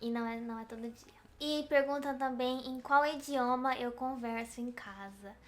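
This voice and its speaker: Her voice is high-pitched. The woman talks at a fairly slow pace with fairly even intonation. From Brazil, countryside. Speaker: video blogger. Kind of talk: casual chat.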